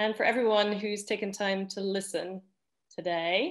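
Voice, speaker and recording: With a slight Scottish accent, a woman speaks at a medium pitch. Her intonation stays fairly even against a quiet background. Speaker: academic researcher. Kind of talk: panel presentation. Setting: video call.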